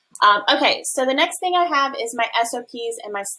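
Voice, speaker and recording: Bright, sharp tone from a woman. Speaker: affiliate manager and business coach; business coach. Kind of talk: tutorial. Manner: fast. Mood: upbeat, enthusiastic. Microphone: webcam.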